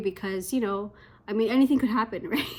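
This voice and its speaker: A woman mumbles with a Canadian accent. Her pitch is fairly high. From Canada. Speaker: English teacher abroad. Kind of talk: casual talk to camera. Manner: hesitant, mumbling.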